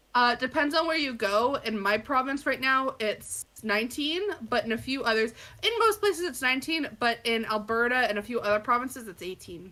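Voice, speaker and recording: A woman's high, bright, sharp voice with lively intonation at a fairly quick pace. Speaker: podcast co-host. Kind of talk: casual chat. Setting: live stream.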